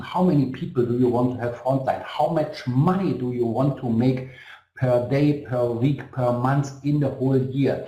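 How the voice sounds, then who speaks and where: Amid noticeable background noise and audible room echo, a man with a German accent talks at medium pitch and a moderate pace. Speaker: network marketing company executive. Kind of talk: motivational webinar. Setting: online webinar. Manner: halting.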